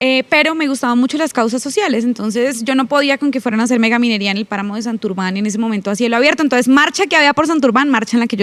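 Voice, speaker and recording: The speech races along at a very fast pace while pitch shifts in an ordinary way. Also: woman. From Colombia, Bucaramanga (Santander). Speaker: congresswoman. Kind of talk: podcast interview. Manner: forceful, sounds like scolding.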